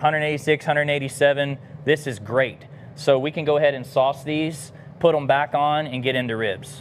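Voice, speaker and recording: A man with an American accent and a fairly high pitch, at a very slow pace with fairly even intonation, over light background noise. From US South. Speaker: barbecue cook and business founder; pitmaster host. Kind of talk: cooking demonstration livestream; live cooking tutorial. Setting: outdoor kitchen. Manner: casual, many filler words. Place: garden.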